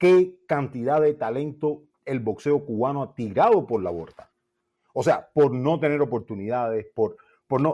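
Lively intonation marks a man's fairly high, dark and mellow voice as he speaks at a fairly slow pace. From Cuba. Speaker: boxing commentator, former boxer. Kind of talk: live call-in debate. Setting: at home, remote call. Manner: loud.

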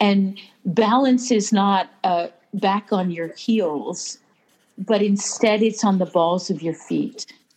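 A woman speaks with an American accent at a very slow pace. Her pitch is medium. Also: ordinary pitch variation. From US Pennsylvania. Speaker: writer and pilgrim. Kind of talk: casual interview chat. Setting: phone call.

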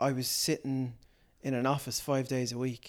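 In a very clean recording with a silent background, a man with a Dublin accent talks at a moderate pace. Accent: Dublin Irish. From Ireland, Dublin (Portmarnock). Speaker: comedian and impressionist. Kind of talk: casual interview chat.

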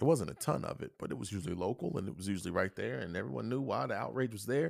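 On a very clean recording with a silent background, a man with a fairly low pitch and vocal fry speaks in an animated tone with very wide pitch swings. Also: dry, close sound with no echo. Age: 30s. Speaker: podcast host. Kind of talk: casual chat.

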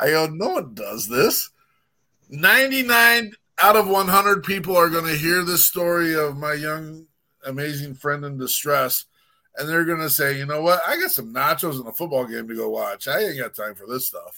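Delivered in a bright, sharp, animated tone, the voice has lively intonation and big swings in loudness on a very clean recording with a silent background. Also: man, fairly high pitch for a man, moderate pace. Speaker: radio show host. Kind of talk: casual chat. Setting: at home.

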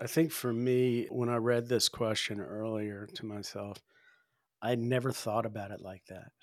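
A man at medium pitch talks at a moderate pace with fairly even intonation in a plain, everyday voice. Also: very clean recording, silent background. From US South. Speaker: priest. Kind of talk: casual discussion podcast.

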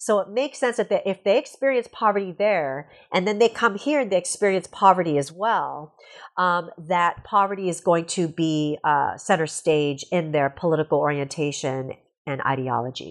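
A woman with a Canadian accent speaks at a moderate pace in a plain, everyday voice, her fairly low pitch moving in lively intonation against a quiet background. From Canada. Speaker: sociology professor and author. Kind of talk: interview.

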